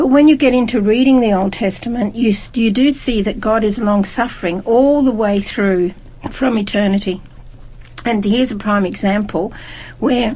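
Noticeable background noise behind a woman with a fairly high pitch, moving at a moderate pace. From Scotland. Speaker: Bible study panelist. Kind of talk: group Bible study discussion.

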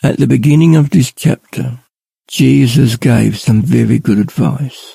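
This man has an Australian accent. He talks very slowly. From Australia, Ballarat, Victoria. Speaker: lay preacher. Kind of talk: devotional talk.

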